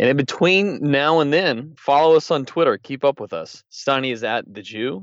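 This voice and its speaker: Moderately paced male speech in a normal speaking voice. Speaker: podcast co-host. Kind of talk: news discussion. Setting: studio.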